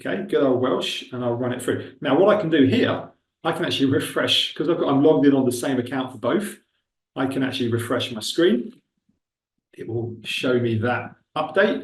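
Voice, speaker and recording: Speaking at a moderate pace in a Buckinghamshire accent, a man with a medium-pitched, somewhat breathy voice uses lively intonation. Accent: Milton Keynes. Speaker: webinar presenter on recruitment technology. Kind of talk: webinar tutorial with live demo. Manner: casual, conversational.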